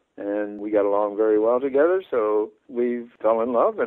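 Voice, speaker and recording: With ordinary pitch variation, a man talks at a moderate tempo in a medium register. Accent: Midwestern American. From Detroit, Michigan. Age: 90s. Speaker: retired engineer and war veteran. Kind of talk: phone interview. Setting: phone call.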